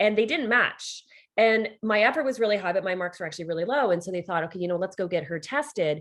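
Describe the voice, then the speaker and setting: With a Canadian accent, a woman at medium pitch speaks at a very fast pace with lively intonation. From Canada. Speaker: leadership coach and author. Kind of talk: interview. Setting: podcast interview. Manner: conversational, many fillers.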